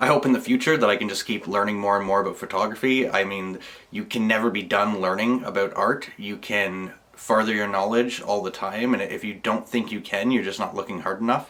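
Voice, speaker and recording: With a Canadian accent, a man with a fairly low pitch talks at a fairly quick pace and with fairly even intonation. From Canada, rural Ontario. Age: 20s. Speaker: photographer. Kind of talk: personal video monologue. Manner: casual, some hesitations.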